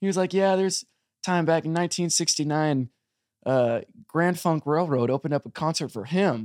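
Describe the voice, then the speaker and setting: A plain, everyday voice from a man, fairly high in pitch with ordinary pitch variation, at a moderate pace, in a very clean recording with a silent background and a dry, close sound with no echo. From US, army family, moved around. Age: 20s. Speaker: southern rock musician. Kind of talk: interview. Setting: studio.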